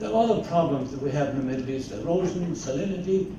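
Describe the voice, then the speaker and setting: Against noticeable background noise and audible room echo, a man speaks with an Irish accent at a high pitch with lively intonation. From Ireland. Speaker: agricultural scientist. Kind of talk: keynote lecture. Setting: conference stage with audience. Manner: halting.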